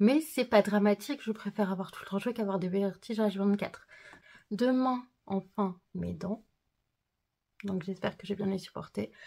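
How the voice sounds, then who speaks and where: This woman's voice is somewhat breathy, with a dark, mellow tone. She speaks at a medium pitch with fairly even intonation. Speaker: vlogger. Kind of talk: vlog. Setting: at home. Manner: hesitant, many filler sounds.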